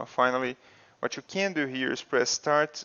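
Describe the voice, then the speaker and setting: A man with a non-native accent speaks at a moderate pace using lively intonation. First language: not English. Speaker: video game streamer. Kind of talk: gameplay tutorial. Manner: casual, with fillers.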